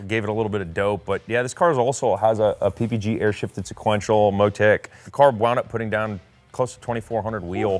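A man is talking very fast. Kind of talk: interview answer. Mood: proud, enthusiastic. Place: workshop. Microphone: lapel.

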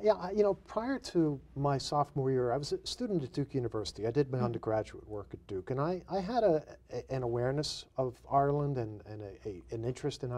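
Delivered at a very fast pace, the voice has a dark, mellow tone and lively intonation. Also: man. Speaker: guest. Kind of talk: interview answer. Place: studio. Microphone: lapel.

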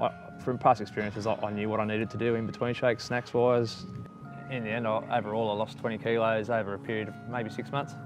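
A man's fairly low-pitched voice with ordinary pitch variation, over clear music in the background. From Australia. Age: 30s. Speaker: weight loss testimonial subject. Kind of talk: testimonial interview answer. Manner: casual, conversational, hesitant. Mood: reflective, calm. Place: garden. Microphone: lapel.

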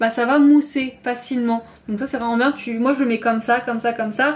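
A woman speaks in a high voice. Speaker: beauty vlogger. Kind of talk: casual vlog chat. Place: bathroom. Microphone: camera far.

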